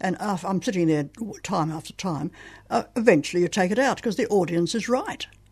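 A woman with an Australian accent talks at a fairly quick pace in a medium-pitched, somewhat breathy voice with lively intonation. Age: 80s+. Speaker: playwright. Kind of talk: author interview. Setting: radio studio. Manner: halting.

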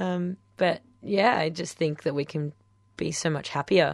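With an Australian accent, a woman speaks at a fairly slow pace with ordinary pitch variation. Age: 20s. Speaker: guest. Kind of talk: radio interview. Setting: radio studio.

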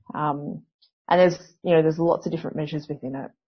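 With an Australian accent, a woman talks at a fairly low pitch. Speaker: historian and university academic. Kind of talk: interview. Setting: phone or video call.

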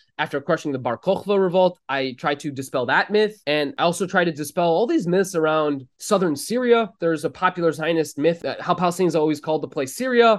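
Over a quiet background, a man with an American accent speaks with hardly any pauses. His pitch is high and varies in an ordinary way. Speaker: historian. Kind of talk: interview.

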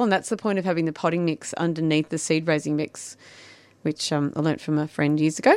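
A woman speaks in an Australian accent at a fairly low pitch, her intonation fairly even. The sound is dry and close with no echo, in a very clean recording with a silent background. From Shepparton, Victoria, Australia. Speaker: garden designer and writer. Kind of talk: casual chat. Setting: studio. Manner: fast talker.

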